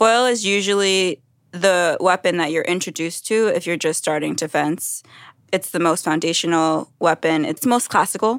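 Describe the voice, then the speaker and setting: A woman with an American accent and a plain, everyday voice speaks at a moderate pace on a very clean recording with a silent background and a dry, close sound with no echo. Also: fairly low pitch for a woman, ordinary pitch variation. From New York City, Brooklyn. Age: 30s. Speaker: Olympic fencer. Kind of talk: casual chat.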